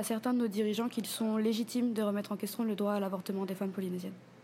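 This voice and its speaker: A woman talks in a fairly high, somewhat breathy voice. Her tone is dark and mellow, and her intonation is fairly even. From French Polynesia, Papara (Tahiti west coast). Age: 20s. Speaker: feminist artist and activist. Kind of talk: interview.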